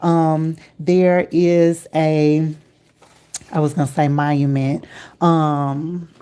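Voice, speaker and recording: The voice belongs to a woman. Her tone is dark and mellow. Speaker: artist and therapist. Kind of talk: casual vlog talk. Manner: many fillers, um and uh.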